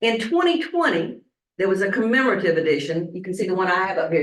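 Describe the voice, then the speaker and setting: Fast and lively, a woman with a Southern US accent speaks at a very fast pace and fairly low pitch. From US South, Statesboro, Georgia. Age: 70s. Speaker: pastor. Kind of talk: sermon.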